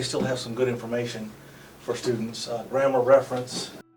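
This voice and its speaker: With an American accent and medium pitch, a man talks fairly quickly amid noticeable background noise and audible room echo. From US South (Arkansas). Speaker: English teacher. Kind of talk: casual tour of office. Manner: hesitant with many fillers.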